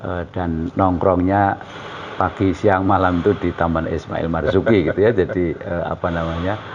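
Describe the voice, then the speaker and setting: Against noticeable background noise, a man with a very deep, low voice speaks in a monotone, flat way at a moderate pace. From East Java, Indonesia (Bojonegoro). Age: 60s. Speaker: painter and journalist. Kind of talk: interview. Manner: hesitant, many fillers.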